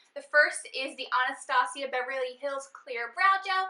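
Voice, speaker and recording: A woman's raised, projected voice, high-pitched with a bright, sharp tone and ordinary pitch variation. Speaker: beauty vlogger. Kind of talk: casual monthly favorites vlog.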